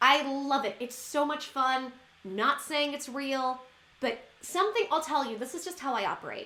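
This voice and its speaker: Over noticeable background noise, a woman with a high pitch uses a raised, projected voice and an animated tone. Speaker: YouTuber. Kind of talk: casual vlog monologue. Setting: at home. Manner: fast.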